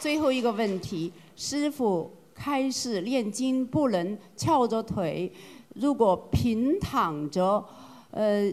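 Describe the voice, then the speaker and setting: A woman talks at a very slow pace with lively intonation. Her pitch sits fairly high. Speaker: group representative asking questions. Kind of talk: formal questions.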